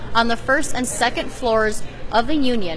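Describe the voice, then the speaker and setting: Against noticeable background noise, a woman with a fairly high pitch talks at a moderate pace. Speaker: student reporter. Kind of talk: TV news reporter.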